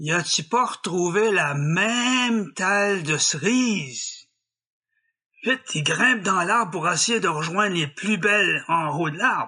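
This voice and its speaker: Speaking at a very slow pace in a French Canadian accent, a man uses a high, bright, sharp, raised and projected voice with lively intonation. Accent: rural French Canadian patois. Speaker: storyteller. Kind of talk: folk tale storytelling. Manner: humorous, folksy.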